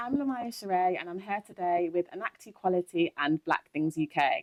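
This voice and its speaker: Speaking with a Nottingham accent, a woman uses a medium pitch at a moderate pace. The sound is dry and close, with no echo. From England, Nottingham. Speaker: interviewer. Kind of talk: interview.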